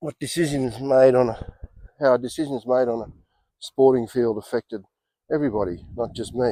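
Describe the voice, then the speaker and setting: Speaking at a moderate pace with long, frequent pauses, a man with an Australian accent has a dark, mellow tone, medium pitch and ordinary pitch variation. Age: 60s. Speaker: golf vlogger. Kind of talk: casual monologue. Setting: outdoors. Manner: hesitant with fillers.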